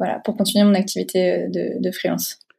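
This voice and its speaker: A somewhat breathy woman's voice, dark and mellow in tone, at a fairly slow pace. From France, Deux-Sèvres. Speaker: illustrator and graphic designer. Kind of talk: interview. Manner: hesitant, many fillers.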